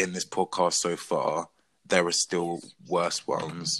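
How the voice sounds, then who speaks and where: A bright, sharp voice with a British accent comes through on a very clean recording with a silent background. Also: man. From England. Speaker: podcast co-host. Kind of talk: casual chat.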